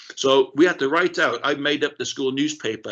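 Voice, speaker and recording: This man has a bright, sharp tone and a South Wales accent. He talks at a fairly quick pace with ordinary pitch variation. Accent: South Wales Welsh English. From South Wales, Rhondda Valley. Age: 50s. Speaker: keynote speaker, ex-RAF aircrew. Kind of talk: keynote talk. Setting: online festival session. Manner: conversational, animated.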